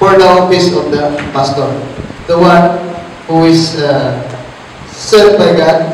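Speech moves at a fairly slow pace with long, frequent pauses and fairly even intonation, over audible room echo and light background noise. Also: man. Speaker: Bible teacher. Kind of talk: Bible study teaching. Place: church.

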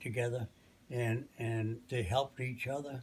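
A man's somewhat breathy voice with monotone, flat intonation. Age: 80s+. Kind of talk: interview answer. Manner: slow, hesitant. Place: home room. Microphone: phone near.

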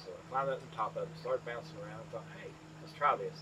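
A man talks with a Southern Appalachian accent. Noticeable background noise runs behind him. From East Tennessee, Appalachia. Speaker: farmer. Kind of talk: interview answer. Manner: casual, storytelling. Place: farm machine. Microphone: lapel.

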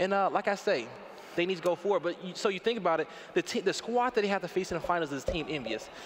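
Over noticeable background noise, a man talks at a very fast pace in a high pitch, his tone animated and his intonation lively. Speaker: esports caster. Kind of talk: live commentary. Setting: stage with audience.

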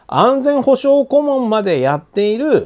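A man is talking. The background is silent in this very clean recording. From Japan, Aichi. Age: 50s. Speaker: economic commentator. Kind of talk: monologue commentary. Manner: casual, filler-heavy.

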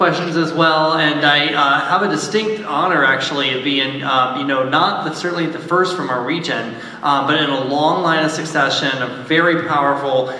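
Audible room echo surrounds a man speaking at a moderate pace. He uses ordinary pitch variation and hardly any pauses. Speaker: panelist. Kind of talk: self-introduction to audience. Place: stage.

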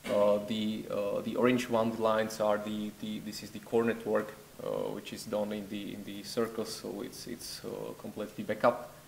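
Monotone, flat intonation with a Czech accent over light background noise. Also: man, fairly low pitch for a man, moderate pace. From Czech Republic. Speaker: network researcher. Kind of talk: conference presentation. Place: hall.

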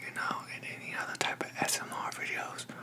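A man is whispering. His words come out as a whisper throughout. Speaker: ASMR creator. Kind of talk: ASMR talk to camera. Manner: casual, friendly. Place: home room. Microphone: studio mic.

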